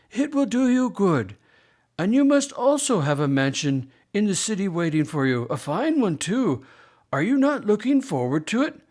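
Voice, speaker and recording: Using a put-on character voice, a man talks at a moderate pace in a high pitch with very wide pitch swings. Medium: read story. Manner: warm, gentle, reassuring.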